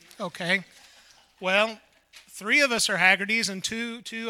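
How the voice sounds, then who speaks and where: The man's voice is raised and projected, with a bright, sharp tone. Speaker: gospel singer. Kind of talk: stage introduction.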